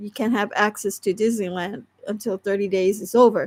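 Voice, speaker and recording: A woman speaks with an American accent. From Southern California. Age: 60s. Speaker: online creator and crafter. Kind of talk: casual livestream chat. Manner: rambling, halting speech with fillers.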